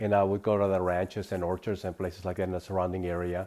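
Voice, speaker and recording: Very deep and low in pitch, a man with a Spanish accent speaks at a fairly quick pace on a very clean recording with a silent background. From northern California (Davis), from age nine; born in Sonora, Mexico. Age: 60s. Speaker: interviewee recounting immigrant life. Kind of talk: interview testimony. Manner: halting, many fillers and repetitions.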